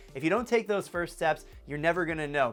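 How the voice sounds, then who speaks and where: A man's high-pitched, energetic voice with music in the background. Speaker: entrepreneur vlogger. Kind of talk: advice vlog talk to camera. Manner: fast.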